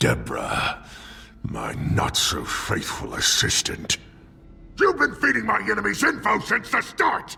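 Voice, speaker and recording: A man speaks in a put-on character voice at a fairly slow pace. Clear background noise sits behind him. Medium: video game. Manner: volatile, shifting between fury and anguish.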